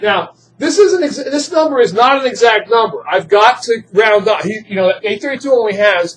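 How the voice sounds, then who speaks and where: With lively intonation, a man speaks at an extremely high pitch. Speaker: chemistry teacher. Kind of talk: classroom lecture. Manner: fast. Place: classroom.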